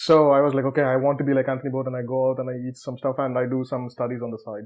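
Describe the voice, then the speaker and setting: With a Tamil accent, a man speaks at a very fast pace against a quiet background. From South India (Tamil Nadu). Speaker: researcher. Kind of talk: interview. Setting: studio. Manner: conversational, informal.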